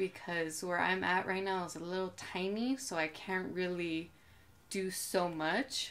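A woman with an American accent speaks at a fairly slow pace, her pitch medium and its variation ordinary. It is an unremarkable speaking voice. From Coachella Valley, California; California. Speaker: artist and fashion designer; podcast guest. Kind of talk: casual chat. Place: home room.

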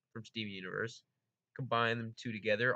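A man at a fairly quick pace, with a quiet background. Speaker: gaming video creator. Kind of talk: casual vlog chat. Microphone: studio mic.

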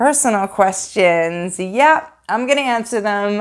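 Lively intonation in an American accent against a quiet background. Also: woman. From New York. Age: 40s. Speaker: YouTube painting artist. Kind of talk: Q&A video monologue. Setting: home video recording. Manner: fast talker; chatty, laughs often. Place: home room.

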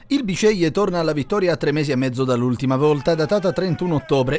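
The speech moves at a fairly quick pace with lively intonation. Noticeable background noise can be heard. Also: man. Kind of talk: football match report voiceover. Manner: fast, dense, rapid-fire delivery of play-by-play; matter-of-fact, informative tone.

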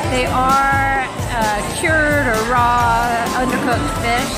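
Loud music plays behind a woman whose voice has ordinary pitch variation and a dry sound with no echo. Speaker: travel vlogger. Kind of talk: casual food review. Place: cafe. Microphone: phone near.

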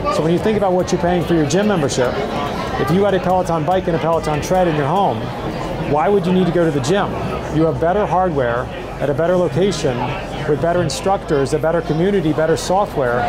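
A man talks at a very fast pace with ordinary pitch variation. Crowd noise fills the background. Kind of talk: interview answer. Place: hall. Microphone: lapel.

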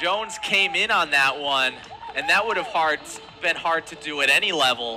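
Music in the background behind a man with a fairly high pitch and lively intonation. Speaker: play-by-play broadcaster. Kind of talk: live baseball play-by-play call.

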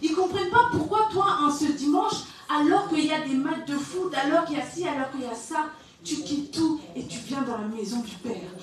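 A woman speaks at a moderate pace in a high pitch. Light background noise and audible room echo are present. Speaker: preacher. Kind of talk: sermon. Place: church.

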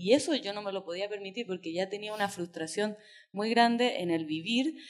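In a Chilean accent, a woman talks at a moderate pace against a quiet background. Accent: Chilean, persisting. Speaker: writer; invited writer on panel. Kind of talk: panel discussion. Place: hall. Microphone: podium.

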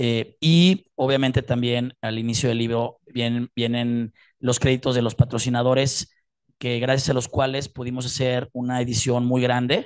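A man's medium-pitched, monotone, flat delivery at a moderate pace against a quiet background. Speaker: book project sponsor. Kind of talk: speech. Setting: stage with audience. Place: hall.

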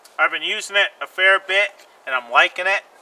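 A bright, sharp tone marks this man's voice. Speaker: bushcraft vlogger. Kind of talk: casual vlog chat. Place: forest.

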